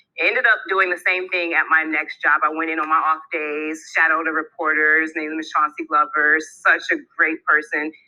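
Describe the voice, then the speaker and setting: A woman with an American accent, very deep and low in pitch, moderate in pace, with monotone, flat intonation. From Detroit, Michigan, US. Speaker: TV news anchor and reporter. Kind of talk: personal career story.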